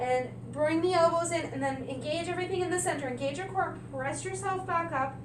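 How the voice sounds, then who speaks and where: With noticeable background noise and audible room echo around her, a woman's speech runs at a moderate pace. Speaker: yoga instructor. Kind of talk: guided yoga class. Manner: calm, instructional.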